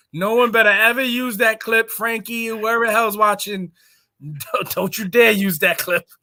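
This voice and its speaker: In a raised, projected voice, a man speaks at a high pitch with a bright, sharp tone, a moderate pace, and ordinary pitch variation. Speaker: pro wrestler. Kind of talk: casual chat. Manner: animated.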